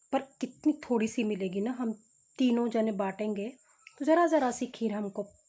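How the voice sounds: The background is free of noise. A natural reading voice moves with ordinary pitch variation.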